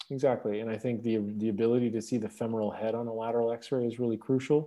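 At a fairly quick pace, a man talks in a normal speaking voice with fairly even intonation. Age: 30s. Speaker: orthopedic trauma surgeon. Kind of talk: interview.

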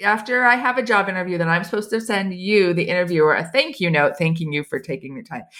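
A woman with an American accent speaks in a bright, sharp tone. Her pitch swings very widely. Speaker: HR writer and consultant. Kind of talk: casual interview.

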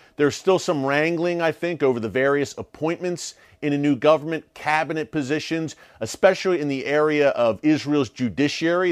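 Against a quiet background, a man uses a plain, everyday voice with ordinary pitch variation. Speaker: news show host. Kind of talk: news commentary broadcast. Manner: formal newscaster delivery, brisk and urgent.

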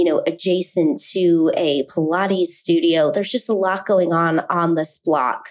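A woman with an American accent speaks at a fairly slow pace in a fairly low pitch, with ordinary pitch variation, very even loudness and an unremarkable speaking voice. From Salt Lake City, Utah. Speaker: juice shop founder. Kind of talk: sponsored interview.

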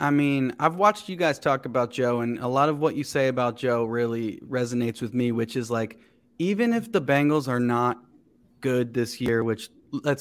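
With an American accent, a man uses a normal speaking voice at medium pitch and a moderate pace, recorded very cleanly against a silent background. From Cincinnati area, Ohio. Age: 30s. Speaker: comedian. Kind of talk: casual chat.

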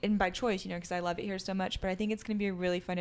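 This woman has an American accent and a medium pitch. The recording is very clean with a silent background. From France until age 9, then Charleston, US. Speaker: former reality TV star and clothing brand owner. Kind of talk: casual chat. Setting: at home, overlooking a creek.

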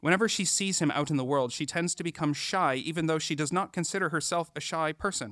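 Recorded very cleanly against a silent background, a man speaks at a fairly quick pace with a dry, close sound and no echo. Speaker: novelist. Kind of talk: reading aloud. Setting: stage with audience. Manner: halting.

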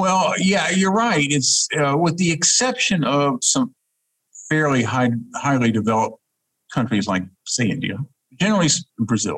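A man with a Southern US accent at a moderate pace, with very wide pitch swings and long, frequent pauses. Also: fairly high pitch for a man, very even loudness. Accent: Southern US accent, persisting. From US South, Huntsville, Alabama. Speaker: diplomat. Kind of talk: interview. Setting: video call.

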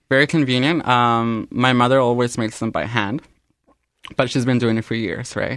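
Against a quiet background, a man with an unremarkable speaking voice talks at a medium pitch. His pace is moderate and his intonation fairly even. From Canada. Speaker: restaurant owner. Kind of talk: radio interview. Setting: radio studio.

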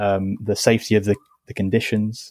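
A man's fairly low voice, dark and mellow in tone, at a moderate pace, with a dry, close sound and no echo. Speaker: charity sustainability head. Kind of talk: interview.

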